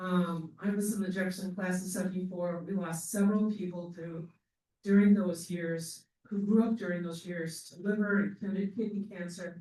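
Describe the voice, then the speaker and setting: Speaking at a moderate pace with a Midwestern American accent, a man has a high pitch, a dark, mellow tone and monotone, flat intonation. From US Midwest, Rockford, Illinois. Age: 60s. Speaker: local resident and activist. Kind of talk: public comment at community meeting. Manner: emphatic.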